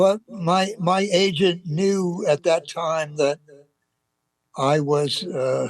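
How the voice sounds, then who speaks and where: This man's pitch sits high and shows ordinary variation. He speaks at a very slow pace. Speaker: actor. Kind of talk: interview answer. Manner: hesitant, halting.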